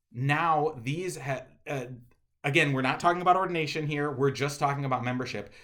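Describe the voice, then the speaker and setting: A man talks at a very fast pace with a medium pitch. His pitch varies in an ordinary way, and audible room echo surrounds him. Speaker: pastor. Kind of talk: video address to congregations.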